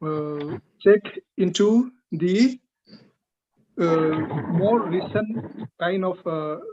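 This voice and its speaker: A man talks very slowly in a high pitch, his tone dark and mellow and his intonation lively. Long, frequent pauses break up his speech, and the sound is dry and close with no echo. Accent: Northeast Indian. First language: Liangmai. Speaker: linguistics researcher giving feedback. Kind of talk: academic feedback in a seminar. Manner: hesitant, many fillers.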